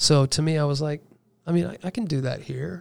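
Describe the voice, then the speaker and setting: A man speaks in a plain, everyday voice with an American accent. His pace is moderate and his pitch variation is ordinary. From Indiana, US Midwest. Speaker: music producer. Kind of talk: casual interview chat.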